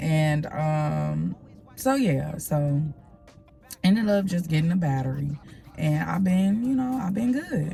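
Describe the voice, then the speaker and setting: A woman speaks at a very slow pace with a very deep, low pitch and lively intonation, her relaxed tone broken by long, frequent pauses, with music in the background and audible room echo. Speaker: lifestyle vlogger. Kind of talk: casual vlog talk to camera. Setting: parking garage at the office. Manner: relaxed, rambling with fillers.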